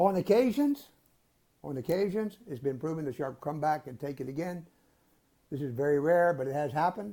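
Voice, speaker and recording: At a moderate pace, a man speaks in a dark, mellow tone with a fairly high pitch and ordinary pitch variation. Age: 80s+. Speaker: shark expert and underwater photographer. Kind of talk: interview answer.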